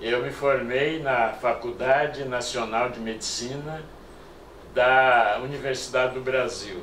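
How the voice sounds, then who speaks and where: Over noticeable background noise and audible room echo, a man at a medium pitch talks at a very slow pace, keeping his intonation fairly even while his loudness swings widely. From Brazil, Mato Grosso do Sul. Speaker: retired doctor and former city councillor. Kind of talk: oral history interview. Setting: filmed interview. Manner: halting.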